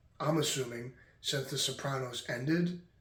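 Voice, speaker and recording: Quiet and with ordinary pitch variation, a man speaks in a room with audible echo. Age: 20s. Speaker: podcast host. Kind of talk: casual monologue. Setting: at home late at night.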